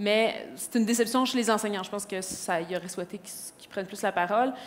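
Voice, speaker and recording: A woman at a very fast pace with fairly high pitch and ordinary pitch variation, with audible room echo and noticeable background noise. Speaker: educational innovation advisor. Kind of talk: conference presentation.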